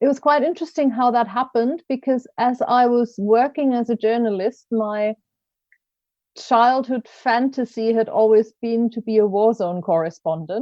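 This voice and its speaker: With a German accent, a woman speaks at a fairly high pitch with ordinary pitch variation. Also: moderate pace. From Germany. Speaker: coach and learning consultant. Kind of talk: podcast interview.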